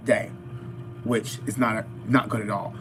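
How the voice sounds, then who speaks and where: A man at a medium pitch in a monotone, flat intonation, at a fairly slow pace, with music in the background. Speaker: fitness vlogger. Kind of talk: live-stream mukbang chat. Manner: casual, addresses viewers directly.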